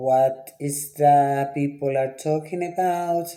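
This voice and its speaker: A man with a Dominican accent speaks at a fairly high pitch. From Dominican Republic. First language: Spanish. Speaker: writer and TV producer. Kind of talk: casual vlog commentary. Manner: conversational, with frequent hesitations.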